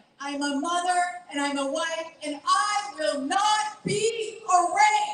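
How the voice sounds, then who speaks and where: A woman speaks at a very slow pace with an extremely high pitch and ordinary pitch variation. There is audible room echo. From Bolivia. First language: Spanish. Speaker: LGBTQ nonprofit director. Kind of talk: rally speech. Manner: emphatic, rousing.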